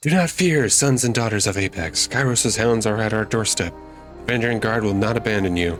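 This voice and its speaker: A man puts on a shrill character voice at medium pitch, speaking at a moderate pace with faint music in the background. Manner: commanding, urgent shout.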